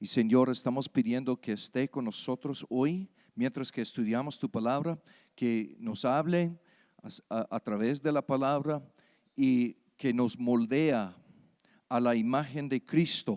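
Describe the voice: At a fairly slow pace, a man with an American accent speaks at a medium pitch with ordinary pitch variation and a slightly mellow tone.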